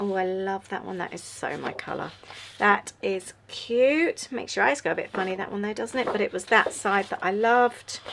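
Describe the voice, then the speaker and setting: A woman with an English accent speaks with ordinary pitch variation. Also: medium pitch for a woman, moderate pace. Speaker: journaling YouTuber. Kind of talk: casual craft tutorial chat. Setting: at home, late night. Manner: yawning, relaxed.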